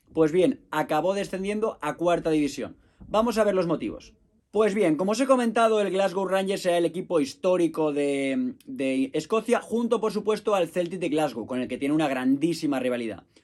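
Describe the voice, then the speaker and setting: At a moderate pace, a man speaks at a high pitch with very wide pitch swings. The recording is very clean, with a silent background. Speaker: football history podcaster. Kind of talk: podcast monologue.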